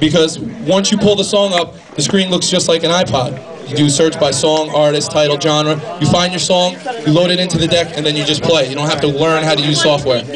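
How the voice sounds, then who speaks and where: Noticeable background noise and audible room echo surround a man with a fairly high pitch. He talks at a fairly quick pace with fairly even intonation. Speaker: product specialist. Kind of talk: live product demo. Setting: record store event with audience. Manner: fast.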